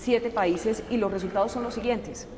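A woman speaks over light background noise. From Colombia. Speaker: journalist. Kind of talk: interview. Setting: presidential palace. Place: hall.

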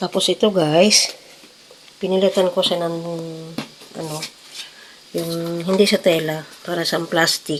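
Over noticeable background noise, the speech moves at a fairly slow pace with long, frequent pauses and a monotone, flat intonation. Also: woman, fairly low pitch for a woman. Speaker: cooking vlogger. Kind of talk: casual vlog narration.

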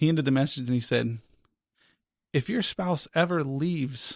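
At a moderate pace, a man with an ordinary speaking voice and an American accent talks at a fairly high pitch on a very clean recording with a silent background. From US South (Florida). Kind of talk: testimony.

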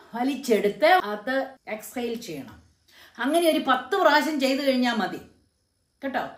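Against a quiet background with audible room echo, a woman speaks in a high voice. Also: big swings in loudness. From Kerala, India. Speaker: YouTube motivational speaker; motivational speaker. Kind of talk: motivational talk to camera. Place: home room. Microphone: phone near.

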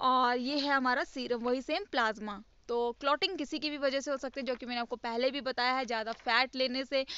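Her intonation fairly even, a woman speaks in a high voice. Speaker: teacher. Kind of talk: lecture.

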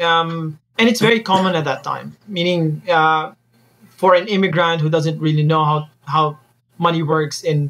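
This man talks at a moderate pace with fairly even intonation. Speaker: guest. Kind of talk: interview answer.

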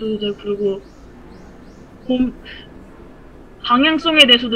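A woman speaks over light background noise. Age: 30s. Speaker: aspiring 3D modeler. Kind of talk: casual advice conversation. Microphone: video call.

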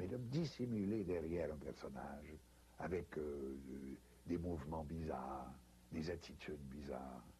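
Very slow speech from a man with a dark, mellow tone and vocal fry, with light background noise. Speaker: interviewee. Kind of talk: interview answer. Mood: reflective, recalling stage roles. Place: home room. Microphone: lapel.

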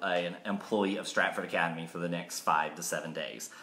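The voice belongs to a man. His delivery is fairly quick. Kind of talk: casual school assembly address. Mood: upbeat, joking. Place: home room. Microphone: phone near.

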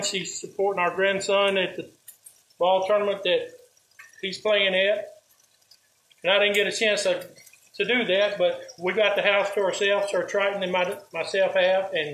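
Delivered in a monotone, flat intonation at a fairly slow pace, the speech has long, frequent pauses and audible room echo. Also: man. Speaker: home cooking show host. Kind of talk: casual vlog chat. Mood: warm, hopeful. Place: kitchen. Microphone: phone near.

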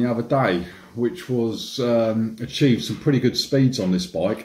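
A man talks fairly slowly, and room echo can be heard around his words. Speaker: e-bike vlogger. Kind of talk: casual vlog chat. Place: kitchen. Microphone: phone near.

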